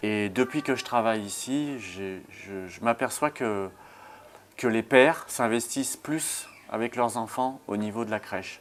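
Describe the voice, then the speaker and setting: A man's very slow delivery with big swings in loudness. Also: medium pitch for a man, ordinary pitch variation. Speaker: nursery childcare assistant. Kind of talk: interview.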